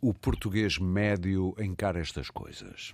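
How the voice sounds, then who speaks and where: A man at a very slow pace on a very clean recording with a silent background. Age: 50s. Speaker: radio host. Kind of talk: radio interview.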